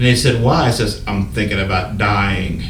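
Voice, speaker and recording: A man's fairly low voice at a fairly quick pace, ordinary pitch variation, audible room echo and noticeable background noise. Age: 60s. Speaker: prophet, Vietnam veteran. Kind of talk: interview testimony.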